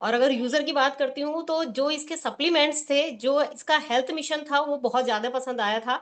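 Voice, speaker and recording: A high-pitched woman speaks with ordinary pitch variation. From Uttarakhand, India. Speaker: session host. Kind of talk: event introduction.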